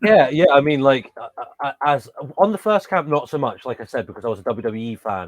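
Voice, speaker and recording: Speaking at a fairly quick pace with an English accent, a man with fairly high pitch swings it very widely. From England. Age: 30s. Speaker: professional wrestler. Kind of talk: interview. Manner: hesitant, many fillers and restarts.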